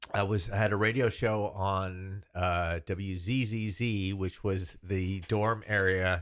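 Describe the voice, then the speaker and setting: With an American accent, a man speaks at a fairly low pitch and a very slow pace, with fairly even intonation and hardly any pauses, on a very clean recording with a silent background. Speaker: Dallas broadcaster and voice actor. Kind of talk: casual interview answer, reminiscing.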